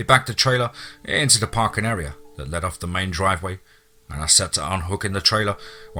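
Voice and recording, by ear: The intonation rises and falls in a lively way. The text is read aloud in a natural voice.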